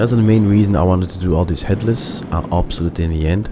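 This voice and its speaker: A man with a non-native accent speaks at a fairly quick pace, with ordinary pitch variation. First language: not English. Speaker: gaming video creator. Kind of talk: let's play commentary. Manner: halting, with many fillers.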